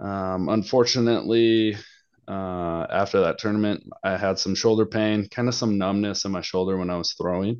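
Against a quiet background, a man with an American accent uses a normal speaking voice, fairly low in pitch, at a moderate pace with fairly even intonation. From Wisconsin. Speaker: pro disc golfer. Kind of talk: casual podcast interview.

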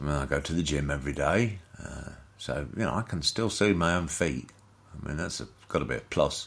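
In a British accent, the voice has a bright, sharp tone with vocal fry, lively intonation and a fairly quick pace. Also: man. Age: 60s. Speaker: comedic ranter. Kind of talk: rant. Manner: halting.

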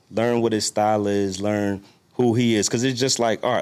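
In a very clean recording with a silent background, a man with a normal speaking voice and an American accent speaks at a moderate pace and fairly low pitch, his intonation fairly even. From New York. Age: 30s. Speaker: chef and restaurant owner. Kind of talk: casual chat.

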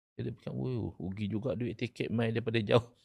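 The man talks at a fairly quick pace in a medium pitch with ordinary pitch variation and some vocal fry. The sound is dry and close, with no echo. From Malaysia, Terengganu. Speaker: Islamic scholar and law lecturer. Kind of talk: podcast interview, religious discussion.

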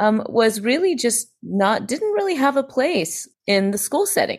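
A normal speaking voice with an American accent moves at a moderate pace with lively intonation. The recording is very clean, with a silent background. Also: woman. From US South, Greenville, South Carolina. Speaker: psychologist and scientist. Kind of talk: interview conversation.

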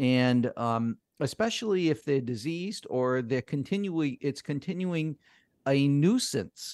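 A man with a plain, everyday voice and a fairly high pitch speaks at a fairly slow pace with lively intonation, the sound dry and close with no echo against a quiet background. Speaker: lawyer and radio host. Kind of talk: live radio call-in show giving legal advice. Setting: live radio studio.

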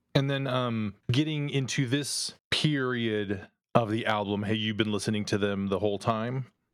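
A man talks at a moderate pace with hardly any pauses, using an unremarkable speaking voice and ordinary pitch variation. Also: medium pitch for a man. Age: 50s. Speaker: podcast host. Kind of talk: casual chat.

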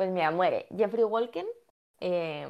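A woman's voice is heard. It sits at a medium pitch. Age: 20s. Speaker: podcast co-host. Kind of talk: casual chat about a TV series.

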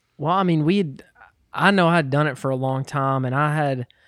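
A man with an unremarkable speaking voice and an American accent speaks at a moderate pace and a fairly high pitch, in a very clean recording with a silent background. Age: 20s. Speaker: musician. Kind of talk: casual chat.

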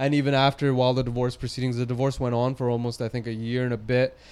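In a Western Canadian accent, a man talks at a medium pitch with monotone, flat intonation. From Surrey, British Columbia, Canada. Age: 30s. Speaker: fitness trainer and gym owner. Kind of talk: casual interview.

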